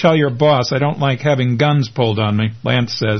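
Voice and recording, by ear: Reading aloud in a natural voice with ordinary pitch variation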